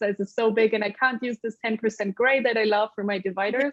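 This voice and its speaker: A woman with a slight German accent speaks at a very fast pace with a fairly high pitch. Her intonation is monotone and flat. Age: middle-aged. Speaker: accessibility lead at a tech company. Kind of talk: panel discussion.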